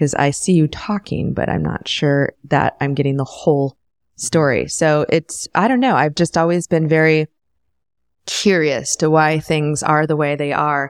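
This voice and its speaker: A woman speaks with a very deep, low pitch and ordinary pitch variation. Her pace is fairly slow, and the sound is dry and close with no echo. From US Midwest, small town near Ann Arbor, Michigan. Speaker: film and TV producer, event founder. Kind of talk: interview conversation.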